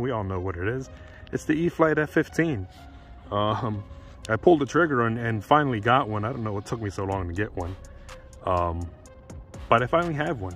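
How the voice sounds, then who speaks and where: A man speaks at a fairly low pitch in a dry sound with no echo. Faint music plays in the background. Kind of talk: casual vlog chat. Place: street.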